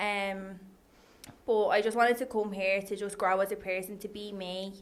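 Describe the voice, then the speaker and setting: A woman speaks in a strong Irish accent at medium pitch. Her intonation is flat and monotone, and her pace is moderate. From Ireland, Dundalk. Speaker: online coach and personal trainer. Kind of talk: casual chat.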